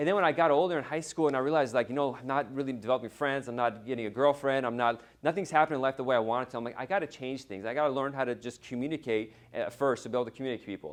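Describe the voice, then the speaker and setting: Against a quiet background, a man at a medium pitch with ordinary pitch variation talks very fast, hardly pausing at all. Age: 30s. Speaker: immigration attorney and conference organizer. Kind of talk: conference keynote speech. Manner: casual, halting with false starts.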